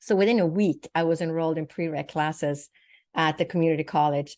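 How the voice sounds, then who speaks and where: Against a quiet background, a woman in a Swedish accent talks at a fairly quick pace with a fairly low pitch. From Sweden. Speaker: naturopathic doctor and psychic medium. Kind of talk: interview testimony.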